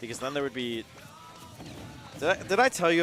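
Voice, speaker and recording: An animated man in an American accent at a very fast pace, with ordinary pitch variation and music in the background. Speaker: esports commentator. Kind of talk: live commentary.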